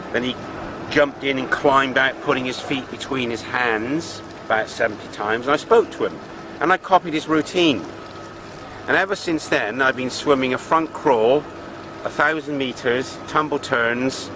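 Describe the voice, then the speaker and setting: An English accent at a moderate pace with ordinary pitch variation, amid noticeable background noise. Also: man, fairly high pitch for a man. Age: 60s. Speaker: fitness enthusiast. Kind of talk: personal reflection to camera. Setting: outdoors by a swimming pool.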